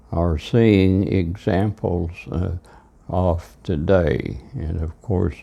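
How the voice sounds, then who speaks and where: A man speaks very slowly. His pitch is very deep and low. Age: 90s. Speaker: elderly father recorded by son. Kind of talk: reflective monologue. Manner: halting.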